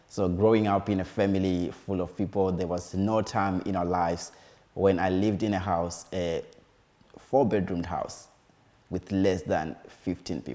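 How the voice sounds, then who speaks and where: A man's very deep, low voice with a Zimbabwean accent, a dark, mellow tone and fairly even intonation. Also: moderate pace. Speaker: musician and community advocate. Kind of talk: interview. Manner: hesitant, with fillers.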